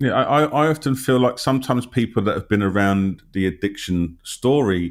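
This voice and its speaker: A man with a London accent talks at a fairly quick pace and medium pitch, his intonation lively. The recording is very clean, with a silent background. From London, England. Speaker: interviewer, health channel host. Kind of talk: interview conversation.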